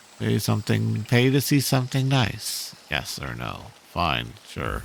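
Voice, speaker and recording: A put-on character voice moves at a fairly slow pace, its pitch swinging very widely. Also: man, very deep, low pitch for a man. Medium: actual play.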